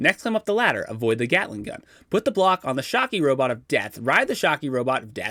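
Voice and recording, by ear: Reading aloud in a natural voice is what this clip holds.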